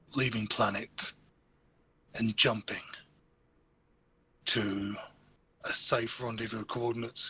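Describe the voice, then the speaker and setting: A man puts on a raspy character voice with a medium pitch, complete with monotone, flat intonation. He delivers it at a fairly slow pace. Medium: actual play. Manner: formal, measured, no contractions.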